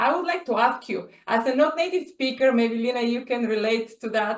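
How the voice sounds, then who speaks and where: This woman's voice sits at a high pitch. Her intonation is lively. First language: not English. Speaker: workshop host. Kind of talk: moderated Q&A.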